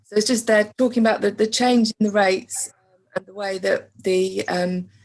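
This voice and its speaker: With an English accent, a woman speaks at a fairly high pitch in a somewhat breathy, monotone, flat way, her loudness swinging widely. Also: moderate pace. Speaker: council finance officer. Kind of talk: meeting presentation. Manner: faint, quiet; hesitant with fillers.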